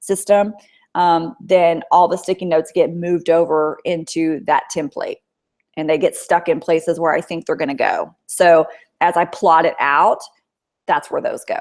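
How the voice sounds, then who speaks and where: Her intonation stays fairly even as this woman talks in a fairly low register. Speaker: author and writing teacher. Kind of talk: webinar Q&A. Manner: fast; hesitant fillers.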